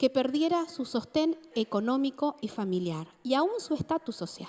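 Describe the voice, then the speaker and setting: A woman's high voice with very wide pitch swings, fairly slow, in a dry, close sound with no echo. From Argentina, Mar del Plata (Buenos Aires province). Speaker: preacher. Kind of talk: sermon.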